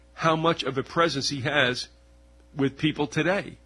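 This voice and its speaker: A man speaks at a fairly slow pace with a fairly high pitch. His tone is bright and sharp. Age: 60s. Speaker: radio host. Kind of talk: interview conversation.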